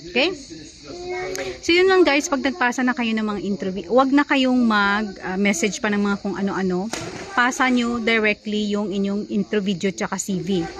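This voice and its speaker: There is noticeable background noise behind a woman with a fairly high pitch. She talks at a moderate pace with lively intonation. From Philippines. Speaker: vlogger and nanny. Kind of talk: casual vlog advice. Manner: conversational, with frequent fillers.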